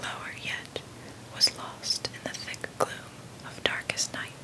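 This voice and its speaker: Someone whispers at a fairly slow pace. There is noticeable background noise. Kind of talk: whispered audiobook reading of a classic novel, ASMR. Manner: whispered.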